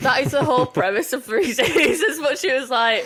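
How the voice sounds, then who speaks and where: A woman with a Yorkshire accent, very wide pitch swings and a moderate pace. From Yorkshire, England. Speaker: podcast co-host. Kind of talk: casual chat.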